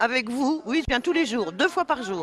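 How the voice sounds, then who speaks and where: This woman's voice sits high and swings very widely in pitch. She speaks at a fairly slow pace. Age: 70s. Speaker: retiree interviewed on community radio. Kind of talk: casual radio interview. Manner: chatty.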